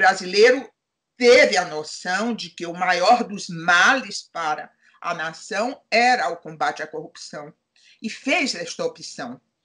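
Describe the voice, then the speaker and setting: At a very slow pace, a woman speaks with a bright, sharp tone at medium pitch, her intonation lively and her loudness swinging widely. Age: 70s. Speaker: retired judge, now lawyer. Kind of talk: interview.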